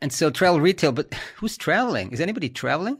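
In a German accent, a man speaks with lively intonation. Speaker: podcast host. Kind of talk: news discussion podcast.

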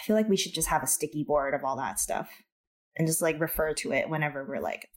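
A woman talks at a very fast pace with an American accent. Her very deep, low voice has vocal fry and very wide pitch swings. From California. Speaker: podcast audio producer. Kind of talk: casual chat.

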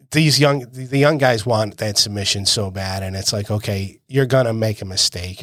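On a very clean recording with a silent background, a man uses a normal speaking voice, fairly low in pitch, with ordinary pitch variation at a moderate pace. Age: 50s. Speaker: jiu-jitsu coach and podcast co-host. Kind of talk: casual chat.

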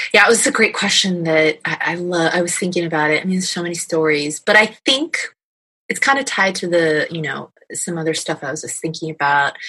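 With a plain, everyday voice, a woman talks at a fairly quick pace in a fairly low pitch with ordinary pitch variation. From New York (Scarsdale), moved from California in fifth grade. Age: 40s. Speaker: youth ministry program manager. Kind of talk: interview.

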